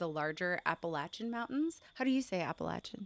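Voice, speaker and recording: With an American accent, a woman at medium pitch talks at a moderate pace with lively intonation in a dry, close sound with no echo. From Montana, US. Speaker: podcast host and storyteller. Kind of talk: casual podcast chat. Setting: outdoors in the mountains.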